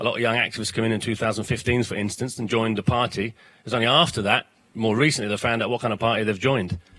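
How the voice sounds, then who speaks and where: Talking at a very fast pace, a man with a South London accent has a medium pitch and a bright, sharp tone. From South London, then Ireland as teenager. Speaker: political educator. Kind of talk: panel interview. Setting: studio in a bar, live broadcast. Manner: animated.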